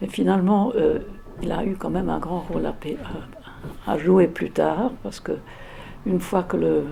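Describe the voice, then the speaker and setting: A woman talks at a fairly slow pace with noticeable background noise around her. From England, London. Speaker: interviewee recounting childhood memories. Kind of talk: oral history interview. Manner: hesitant, many fillers and repetitions.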